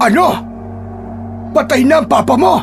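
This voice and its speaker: With loud music in the background, a man uses a put-on character voice at an extremely high pitch and a fairly slow pace. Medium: audio drama. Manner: grave, protective.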